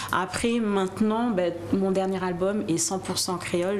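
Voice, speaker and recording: The speaker goes at a fairly slow pace, with audible room echo and noticeable background noise. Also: woman. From raised in mainland France, Antillean family. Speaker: singer. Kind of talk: interview.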